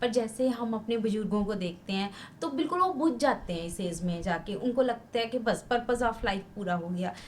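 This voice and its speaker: Over noticeable background noise, a woman speaks at a fairly high pitch with lively intonation. Her pace is moderate, with hardly any pauses. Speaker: podcast host. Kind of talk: interview questions.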